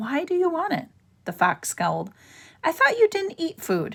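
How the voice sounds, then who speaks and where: Doing a put-on character voice, a woman speaks at an extremely high pitch and a moderate pace. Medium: read story. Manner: blunt, eager.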